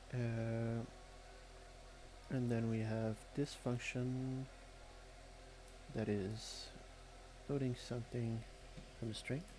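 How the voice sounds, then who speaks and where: A man's medium-pitched, somewhat breathy voice with a non-native accent, dark and mellow in tone, monotone and flat, at very even loudness and a very slow pace, with long, frequent pauses. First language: not English. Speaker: malware reverse engineer streamer. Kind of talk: live-stream tutorial. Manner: halting, many filler words.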